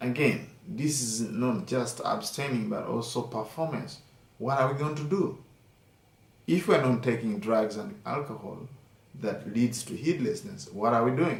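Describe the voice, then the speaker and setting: Somewhat breathy, a man speaks at a medium pitch. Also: lively intonation, fairly slow pace. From Uganda. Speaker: Buddhist monk and meditation teacher. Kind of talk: dharma talk.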